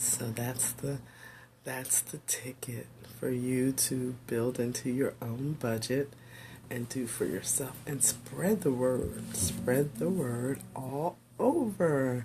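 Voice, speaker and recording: Vocal fry runs through a woman's voice. She speaks at a very slow pace with ordinary pitch variation. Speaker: pastor and teacher. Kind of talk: casual livestream talk. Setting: home office video stream. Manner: halting with fillers.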